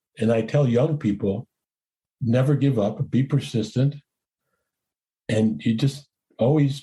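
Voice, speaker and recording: Somewhat breathy, a man talks at a medium pitch and moderate pace with ordinary pitch variation. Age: 70s. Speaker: explorer and cinematographer. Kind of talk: interview. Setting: podcast interview.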